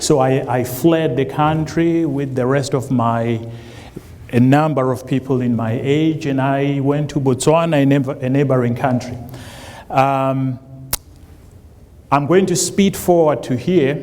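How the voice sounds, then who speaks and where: A man with a fairly high pitch and fairly even intonation talks at a fairly slow pace with long, frequent pauses, amid audible room echo and noticeable background noise. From South Africa. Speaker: college administrator, job candidate. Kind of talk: public forum speech. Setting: public forum with audience. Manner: halting, many fillers.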